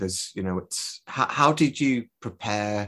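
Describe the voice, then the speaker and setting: Over a quiet background, a man with a Lancashire accent speaks at a fairly low pitch. His pace is moderate and his pitch variation ordinary. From northern England, Preston. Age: 30s. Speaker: podcast host. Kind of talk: interview.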